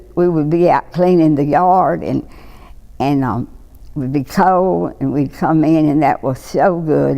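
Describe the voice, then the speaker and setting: A woman speaks with a Mississippi accent at a very deep, low pitch. Her tone is dark and mellow, with ordinary pitch variation. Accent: Southern US, Mississippi. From Lawrence County, Mississippi. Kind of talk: oral history interview answer.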